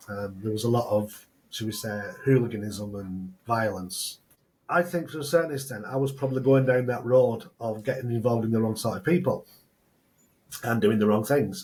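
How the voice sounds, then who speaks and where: At a moderate pace, a man speaks in a somewhat breathy voice of medium pitch with ordinary variation. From northern England (Oldham). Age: 60s. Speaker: entrepreneur, former rugby player. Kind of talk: podcast interview.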